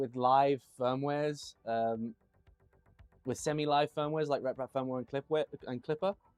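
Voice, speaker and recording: With a British accent, a man speaks at a moderate pace in a fairly high pitch, the sound dry and close with no echo. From Tanzania (Dar es Salaam), British parents. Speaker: machine builder and live streamer. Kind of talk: casual live stream chat. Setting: live stream, workshop. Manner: conversational, with fillers.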